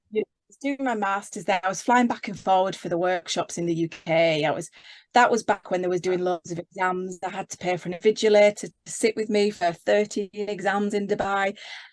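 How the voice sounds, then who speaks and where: A woman with a Yorkshire accent at a fairly quick pace, fairly even intonation and big swings in loudness. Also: medium pitch for a woman, dry, close sound with no echo. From Yorkshire, northern England. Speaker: leadership coach. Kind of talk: casual interview.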